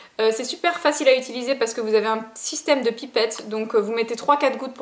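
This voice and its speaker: A high-pitched woman at a very fast pace with fairly even intonation, over noticeable background noise. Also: hardly any pauses, big swings in loudness. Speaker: beauty vlogger. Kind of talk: product review vlog. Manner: casual, filler-heavy.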